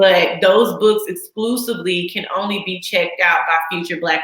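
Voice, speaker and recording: A woman with an American accent has an ordinary speaking voice at a medium pitch, speaking at a moderate pace with ordinary pitch variation. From Texas. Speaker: midwife. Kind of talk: interview.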